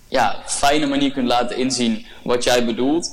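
A man talks in a medium pitch at a moderate pace. His intonation is monotone and flat. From Brabant, Netherlands. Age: 20s. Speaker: podcast guest, young entrepreneur. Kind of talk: casual interview.

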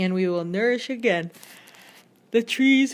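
A woman speaks at a moderate pace with lively intonation, an ordinary speaking voice. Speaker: podcast host reading scripture; mother. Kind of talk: scripture reading, solemn and steady, in archaic King James phrasing. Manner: measured, reverent, even-paced, with small self-corrections.

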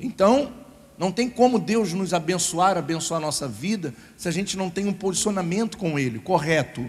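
With an animated tone and lively intonation, a man speaks at a high pitch. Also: moderate pace. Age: 30s. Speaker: pastor. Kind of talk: sermon.

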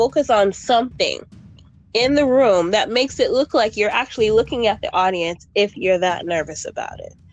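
Using a plain, everyday voice, a woman talks at a moderate pace with lively intonation and a fairly high pitch. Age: 30s. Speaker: podcast guest, poet and church soloist. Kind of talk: casual chat.

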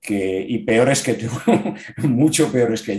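At a moderate pace, a man with medium pitch talks in an unremarkable speaking voice. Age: 60s. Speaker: amateur triathlete. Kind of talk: casual interview.

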